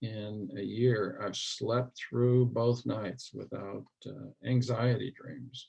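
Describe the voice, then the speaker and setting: Speaking with an American accent, a man uses a medium pitch and a somewhat breathy voice. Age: 60s. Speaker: mental health advocate. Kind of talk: interview.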